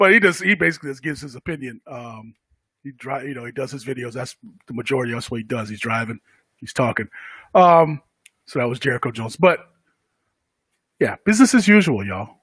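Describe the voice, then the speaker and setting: The speaker goes at a very fast pace with lively intonation, big swings in loudness, and long, frequent pauses. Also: man, medium pitch for a man, dry, close sound with no echo. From Connecticut. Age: 40s. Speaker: podcast host. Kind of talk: casual talk. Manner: halting, many fillers.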